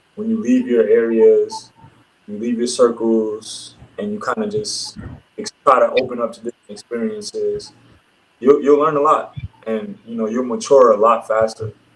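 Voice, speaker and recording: Here is a man with an American accent. He talks at a moderate pace. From Brooklyn, New York. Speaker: professional basketball player. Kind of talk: casual interview.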